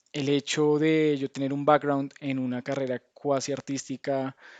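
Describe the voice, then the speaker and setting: A man speaks at a very slow pace with a Colombian accent. His pitch is fairly high. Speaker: game tester, speaker. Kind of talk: lecture. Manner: hesitant, many fillers and restarts.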